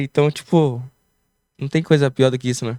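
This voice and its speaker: Fairly even intonation runs through a very clean recording with a silent background. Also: man, dry, close sound with no echo. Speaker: entrepreneur, barbershop owner, former breakdancer. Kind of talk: casual podcast interview. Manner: tangles words from a speech block.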